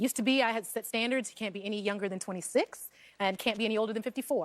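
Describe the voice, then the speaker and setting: Very fast speech with an American accent. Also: woman. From Texas (Corpus Christi, Houston). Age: 30s. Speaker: talk show guest. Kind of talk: casual chat. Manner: fast, talkative.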